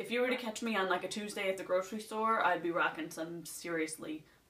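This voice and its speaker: A woman with a medium pitch talks at a fairly quick pace. Her intonation is lively, and noticeable background noise can be heard. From Nova Scotia, Canada. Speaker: beauty vlogger. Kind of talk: casual chat.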